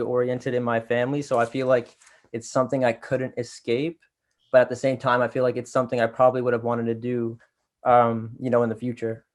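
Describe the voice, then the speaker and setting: A man with a Toronto accent speaks at a very fast pace. His medium-pitched delivery is monotone and flat. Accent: Canadian English, Toronto. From Canada, Toronto area (Scarborough, Pickering, Ajax). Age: 20s. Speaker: R&B singer. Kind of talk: interview.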